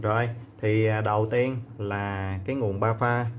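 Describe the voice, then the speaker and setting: Fairly even intonation marks this man's speech over light background noise. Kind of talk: tutorial. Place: workshop. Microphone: phone near.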